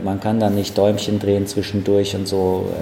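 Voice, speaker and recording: Noticeable background noise and audible room echo accompany a man speaking at a fairly low pitch. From Frankfurt am Main, Bornheim. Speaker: chef and restaurant owner. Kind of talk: casual interview. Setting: in restaurant, first garden then indoors. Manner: hesitant fillers (äh).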